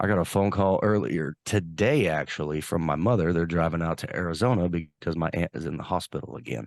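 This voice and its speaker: Over a quiet background, a man with a very deep, low pitch and vocal fry talks at a fairly quick pace with hardly any pauses and ordinary pitch variation. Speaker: podcast co-host. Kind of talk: casual chat.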